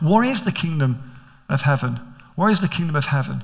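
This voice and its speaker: Speaking at a very fast pace, a man with a Manchester accent sounds somewhat breathy. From Manchester, England.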